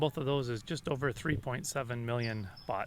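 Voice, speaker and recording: A man at a moderate pace with ordinary pitch variation. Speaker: vlogger. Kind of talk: casual vlog talk. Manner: loud.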